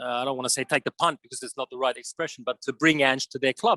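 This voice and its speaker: Speaking with an Australian accent, a man uses a medium pitch and fairly even intonation, his tone bright and sharp, the sound dry and close with no echo. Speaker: football journalist. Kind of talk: interview. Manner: halting, many fillers.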